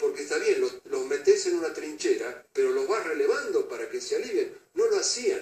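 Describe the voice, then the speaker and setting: Over music in the background, a man with an extremely high pitch talks with hardly any pauses and fairly even intonation. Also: moderate pace. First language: Russian (speaking Spanish). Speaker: Falklands war veteran. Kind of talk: interview.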